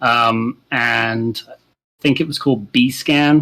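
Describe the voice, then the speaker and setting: Man with a British accent, medium pitch and a bright, sharp tone, fairly even intonation, on a very clean recording with a silent background. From UK. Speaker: penetration tester. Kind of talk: interview. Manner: halting, many fillers.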